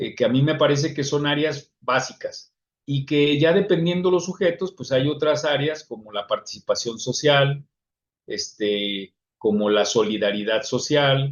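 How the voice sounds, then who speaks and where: A man speaks with a Mexican accent at a fairly slow pace. His fairly high voice has lively intonation. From Mexico. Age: 60s. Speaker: psychologist. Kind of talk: lecture. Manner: halting.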